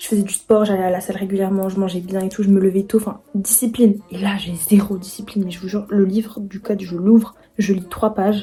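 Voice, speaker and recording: A woman talks at a fairly quick pace with hardly any pauses and monotone, flat intonation. Her loudness swings a lot, and background noise is noticeable. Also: medium pitch for a woman. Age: 20s. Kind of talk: casual talk to camera.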